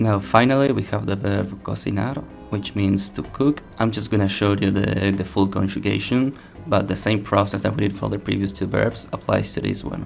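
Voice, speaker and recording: Over music in the background, a man with a Spanish accent talks at a moderate pace in a fairly low pitch with ordinary pitch variation. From Argentina. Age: 20s. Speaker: language teacher. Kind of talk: language lesson narration.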